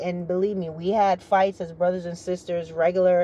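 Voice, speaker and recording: Moderate pace from a woman amid noticeable background noise. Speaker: YouTuber, military retiree. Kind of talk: casual vlog commentary. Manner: formal, briefing-like, pontificating.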